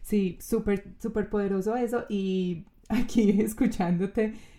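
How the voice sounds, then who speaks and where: A woman with a Colombian accent speaks in a dark, mellow tone. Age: 30s. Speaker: podcast host and coach. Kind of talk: casual interview.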